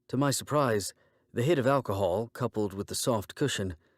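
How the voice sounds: The voice heard here is a natural reading voice.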